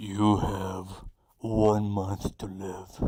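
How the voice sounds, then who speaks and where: A man speaks in a put-on character voice with a monotone, flat intonation. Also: fairly low pitch for a man. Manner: solemn.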